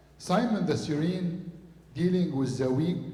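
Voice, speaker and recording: A man talking at a fairly slow pace, with ordinary pitch variation and audible room echo. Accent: Arabic. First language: Arabic. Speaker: priest. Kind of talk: sermon.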